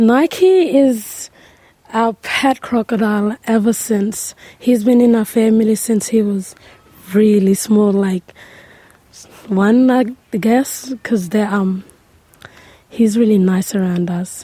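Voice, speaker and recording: Very slowly and with long, frequent pauses, a woman speaks at a fairly high pitch with ordinary pitch variation. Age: 19. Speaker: young community member. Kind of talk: interview. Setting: outdoors on country.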